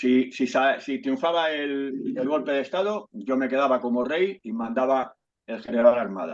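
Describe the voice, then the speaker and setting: A man with an unremarkable speaking voice talks at a moderate pace, at a medium pitch with ordinary pitch variation. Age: 60s. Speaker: historical memory activist, invited speaker. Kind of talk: talk in an online discussion. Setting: video call.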